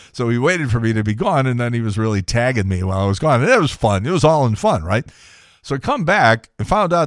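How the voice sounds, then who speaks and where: A man talks at a medium pitch. His recording is very clean, set against a silent background. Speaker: radio host. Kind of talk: casual radio show monologue. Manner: chatty, conversational.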